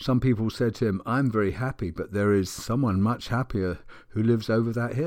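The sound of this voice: The clip has an unforced reading voice. Pitch moves with ordinary variation.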